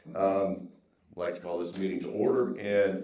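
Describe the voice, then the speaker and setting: A man talks with an American accent. Noticeable background noise and audible room echo surround him. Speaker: meeting chair. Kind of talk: public meeting. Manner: formal.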